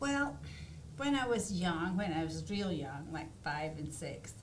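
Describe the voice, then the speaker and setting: A woman with a Scottish accent and fairly low pitch speaks at a fairly slow pace, with audible room echo and noticeable background noise. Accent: Scottish, still noticeable. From Scotland, Aberdeen. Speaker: artist. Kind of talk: interview. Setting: studio.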